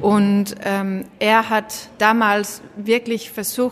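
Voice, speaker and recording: Noticeable background noise sits behind a woman with a Danish accent. Her pitch is medium and her intonation monotone and flat. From Denmark. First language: Danish (speaking German). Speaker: social entrepreneur, school founder. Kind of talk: interview. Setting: glass meeting room in coworking space. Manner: hesitant, many fillers.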